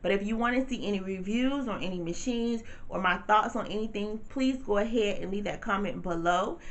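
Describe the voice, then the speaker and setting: A woman speaks at a fairly quick pace with hardly any pauses, her pitch medium and varying in the ordinary way. Her tone is animated, and audible room echo surrounds her. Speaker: t-shirt business owner and vlogger. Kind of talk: casual vlog tutorial. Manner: fast.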